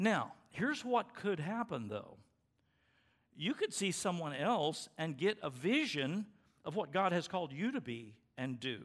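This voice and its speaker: At a fairly slow pace, a man with a high pitch makes very wide pitch swings in a very clean recording with a silent background. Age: 70s. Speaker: pastor. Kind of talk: sermon. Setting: church. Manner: halting.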